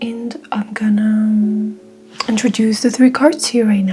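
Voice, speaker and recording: A woman with a Mongolian accent and a fairly high pitch, music playing in the background. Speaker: tarot reader. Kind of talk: tarot reading.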